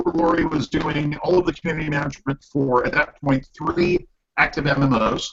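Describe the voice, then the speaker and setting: This man has a fairly high pitch, a somewhat breathy voice and ordinary pitch variation, and he speaks at a moderate pace. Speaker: community manager, Navy veteran. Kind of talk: panel discussion. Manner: animated.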